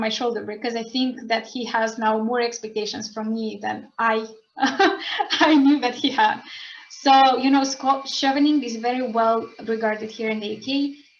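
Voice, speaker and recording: Over noticeable background noise, a woman with a high-pitched voice speaks at a moderate pace. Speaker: scholarship student. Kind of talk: online panel talk. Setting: video call. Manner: halting.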